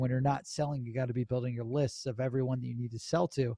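Against a quiet background, a man with an American accent talks at a very fast pace in a somewhat breathy voice and an enthusiastic tone. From Cleveland, Ohio, US Midwest. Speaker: sales entrepreneur and company founder. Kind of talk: podcast interview. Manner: high-energy, enthusiastic.

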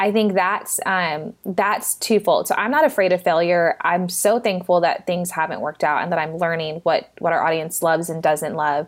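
At a moderate pace with hardly any pauses, a plain, everyday voice with an American accent shows ordinary pitch variation. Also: woman, fairly low pitch for a woman. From Texas. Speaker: nonprofit founder. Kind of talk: casual interview chat.

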